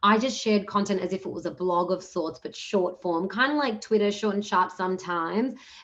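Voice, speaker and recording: A woman speaks with an Australian accent. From Australia, Punjabi-speaking Indian family. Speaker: entrepreneurship program manager, panelist. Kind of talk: panel discussion. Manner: fast, casual with fillers.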